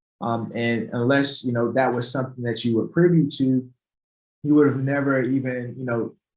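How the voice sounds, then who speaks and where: In a normal speaking voice, a man with an American accent talks at a moderate pace, his medium pitch held in fairly even intonation. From North Carolina (Greensboro). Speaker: keynote speaker on personal finance. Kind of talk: presentation. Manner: casual, conversational.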